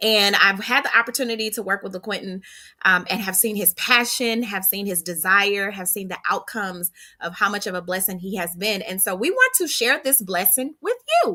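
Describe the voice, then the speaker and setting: A loud, animated voice with a bright, sharp tone comes through at a moderate pace. Its pitch variation is ordinary. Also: woman, medium pitch for a woman. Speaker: live stream host. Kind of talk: casual interview. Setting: live video stream.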